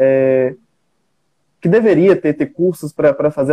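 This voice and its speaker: A man speaks in a dark, mellow tone. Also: dry, close sound with no echo. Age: 20s. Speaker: medical student. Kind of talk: live panel moderation.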